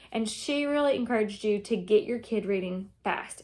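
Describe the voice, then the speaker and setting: In a very clean recording with a silent background, a woman with a Southern US accent speaks at a fairly high pitch with lively intonation. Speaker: homeschooling mother. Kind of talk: casual talk to camera. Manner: informal, many fillers.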